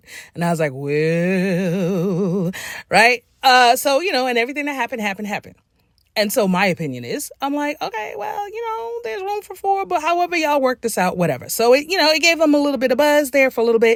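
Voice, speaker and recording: Speaking very fast, a high-pitched woman sounds animated, her pitch swinging very widely. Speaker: writer and book coach, commentary YouTuber. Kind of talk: casual commentary vlog. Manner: animated, conversational; relaxed, informal, not her corporate voice.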